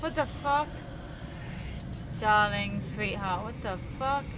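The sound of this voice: A woman's medium-pitched voice at a slow pace, with ordinary pitch variation and clear background noise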